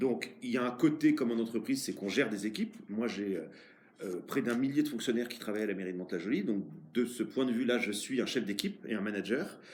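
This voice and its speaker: The man races along at a very fast pace, his medium pitch showing ordinary variation. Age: 40s. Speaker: mayor. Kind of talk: interview. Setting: office. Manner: hesitant, many fillers.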